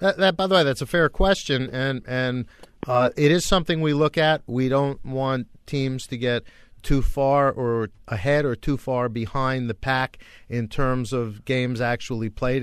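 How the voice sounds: A man speaks with a clear, smooth tone. His intonation stays fairly even. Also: medium pitch for a man, moderate pace.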